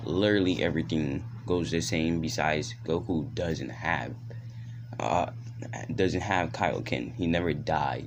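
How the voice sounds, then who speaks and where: Very wide pitch swings from a man at a moderate pace, with audible room echo. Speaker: YouTuber telling fan-fiction stories. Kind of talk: casual storytelling. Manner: stuttering at times.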